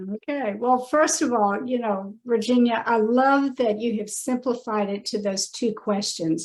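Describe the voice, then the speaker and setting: With an ordinary speaking voice, a woman talks at a fairly slow pace in a fairly high pitch with ordinary pitch variation. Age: 60s. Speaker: personal branding consultant. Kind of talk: podcast interview.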